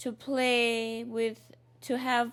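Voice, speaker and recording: Woman with a Lesotho accent in a very clean recording with a silent background. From Lesotho, Southern Africa. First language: Sesotho. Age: 40s. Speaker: community activist. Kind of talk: personal interview. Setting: recorded interview.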